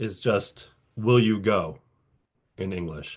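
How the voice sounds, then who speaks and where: A man talks at a fairly low pitch with ordinary pitch variation. The background is quiet. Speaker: patent attorney lecturer. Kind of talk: lecture. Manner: halting, many restarts and fillers.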